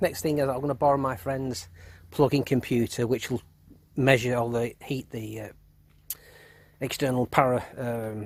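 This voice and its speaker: A man with an English accent, medium pitch, and long, frequent pauses. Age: 50s. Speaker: car enthusiast. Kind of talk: casual tutorial. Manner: halting.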